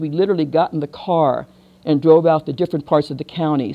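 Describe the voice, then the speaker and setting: With an American accent, a woman speaks at a very fast pace. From US South. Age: 70s. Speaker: activist. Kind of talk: lecture.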